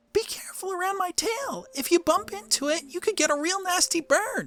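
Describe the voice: This put-on character voice runs at a fairly quick pace with an extremely high pitch.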